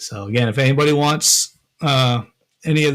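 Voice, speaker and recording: A man with a Massachusetts accent speaks at medium pitch. His pace is moderate, with fairly even intonation. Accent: Massachusetts accent, noticeable. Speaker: metal detecting and prospecting YouTuber. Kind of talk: live stream chat with viewers. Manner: casual, hesitant with fillers.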